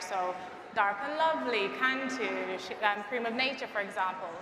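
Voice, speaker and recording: In a room with audible echo and noticeable background noise, a woman speaks with a Jamaican accent and ordinary pitch variation. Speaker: brand partnerships manager, panelist. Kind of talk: panel discussion.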